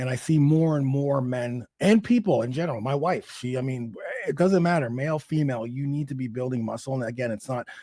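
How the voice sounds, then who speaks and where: Over a very clean, silent background, a man talks at a fairly quick pace in a dark, mellow tone, at medium pitch with ordinary pitch variation. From Canada (Toronto). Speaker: fitness coach. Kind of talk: interview. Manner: animated.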